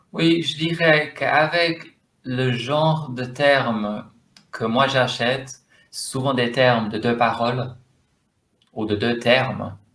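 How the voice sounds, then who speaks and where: A man with an English accent speaks at medium pitch with ordinary pitch variation. His very slow delivery has long, frequent pauses. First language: English (speaking French). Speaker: domain name investor. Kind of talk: interview. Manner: halting, searching for words.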